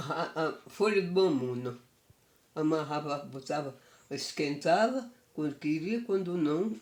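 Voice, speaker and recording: A woman's very deep, low voice with ordinary pitch variation and a fairly slow pace. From Afogados da Ingazeira, Pernambuco, Brazil. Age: 80s+. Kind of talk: interview answer.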